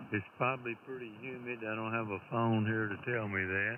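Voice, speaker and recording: Medium pitch from a man, with noticeable background noise behind him. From Tennessee. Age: 80s. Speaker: retired amateur radio operator. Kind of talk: casual chat over radio contact.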